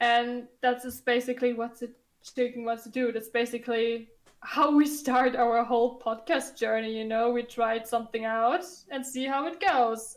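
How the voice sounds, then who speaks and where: A non-native accent, fairly even intonation and a moderate pace. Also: woman. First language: not English. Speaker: podcast co-host. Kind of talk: casual chat. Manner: halting, searching for words.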